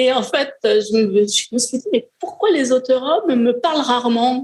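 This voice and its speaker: Moderately paced female speech, high in pitch and full of very wide pitch swings. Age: 60s. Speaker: novelist. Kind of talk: interview. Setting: live event in hotel hall.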